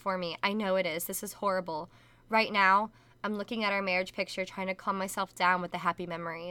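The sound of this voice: The intonation remains fairly even. It is delivered in an unforced reading voice.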